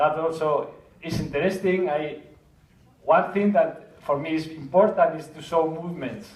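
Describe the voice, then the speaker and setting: Speaking with a Spanish accent at a moderate pace and with fairly even intonation, the voice makes big swings in loudness amid noticeable background noise and audible room echo. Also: man, fairly high pitch for a man. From Spain. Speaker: 360 video filmmaker. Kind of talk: conference talk. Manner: halting, many repetitions and fillers.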